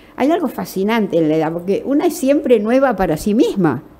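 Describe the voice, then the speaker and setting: A woman's voice with very wide pitch swings over noticeable background noise. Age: 80s+. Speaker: novelist. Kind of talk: interview.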